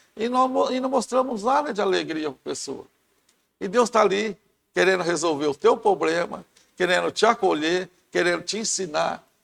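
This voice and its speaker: A man speaks at a high pitch with lively intonation and a moderate pace. The recording is very clean, with a silent background. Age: 60s. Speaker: church member, lay preacher. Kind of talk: Bible study discussion.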